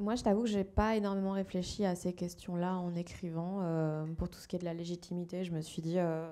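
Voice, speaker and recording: A woman speaks at a moderate pace with hardly any pauses, her tone dark and mellow. Her intonation is monotone and flat, while her loudness swings a lot. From Belgium. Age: 20s. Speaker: novelist. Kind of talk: panel discussion. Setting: book fair talk with audience. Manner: casual, hesitant.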